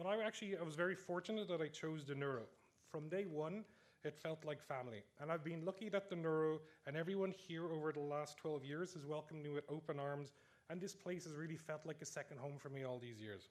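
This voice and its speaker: Very fast and fairly high-pitched, a man talks with an Irish accent. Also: ordinary pitch variation. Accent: Irish, noticeable. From Ireland, Dublin. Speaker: neuroscience researcher, award recipient. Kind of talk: award acceptance speech. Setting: stage with audience in amphitheatre.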